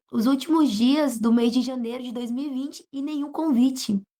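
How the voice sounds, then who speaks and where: A woman with a northern Brazilian accent speaks at a fairly slow pace, with a high pitch, a dark, mellow tone and fairly even intonation. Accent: non-local northern Brazilian. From northern Brazil (Pará), later Goiás. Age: young. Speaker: preacher. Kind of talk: interview testimony.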